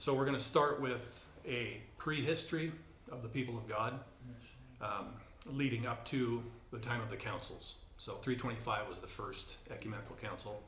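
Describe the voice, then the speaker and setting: A man speaks at a medium pitch with fairly even intonation. Long, frequent pauses break up his speech, and the room echo is audible. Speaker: church teacher. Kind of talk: lecture. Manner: fast; hesitant, many fillers.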